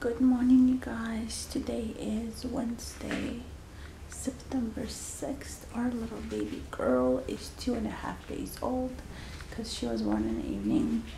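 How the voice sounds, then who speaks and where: Audible room echo and light background noise surround a woman speaking at a very slow pace. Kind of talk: casual vlog chat. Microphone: phone near.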